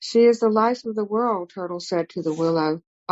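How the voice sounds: Quiet surroundings and a natural reading voice, its pitch rising and falling in an ordinary way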